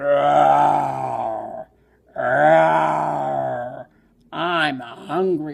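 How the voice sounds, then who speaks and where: A put-on character voice from a man, pitched very deep and low. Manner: roaring, fierce.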